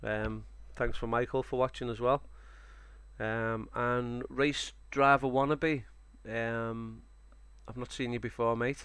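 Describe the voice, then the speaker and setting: Long, frequent pauses break up a man's fairly slow speech in a Liverpool accent. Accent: Scouse (Liverpool). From Liverpool, England. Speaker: sim racing streamer. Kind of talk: live stream commentary. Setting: live stream. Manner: casual, hesitant with fillers.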